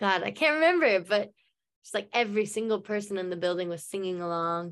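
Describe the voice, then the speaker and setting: A woman with an American accent and a normal speaking voice, at a medium pitch with ordinary pitch variation, a fairly quick pace and a quiet background. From United States. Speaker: musician. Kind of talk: casual interview. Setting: remote call. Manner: rambling, lots of fillers.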